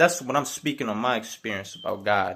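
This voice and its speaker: A loud, animated man with very wide pitch swings on a very clean recording with a silent background. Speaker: video blogger on faith and gangstalking. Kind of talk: video monologue. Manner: animated, repetitive filler 'man'.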